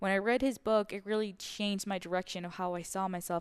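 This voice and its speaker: Fairly quick, monotone speech with flat intonation and a Spanish accent over a quiet background. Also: woman. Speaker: podcast host. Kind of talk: solo podcast monologue, personal reflection. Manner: reflective, slightly halting with fillers.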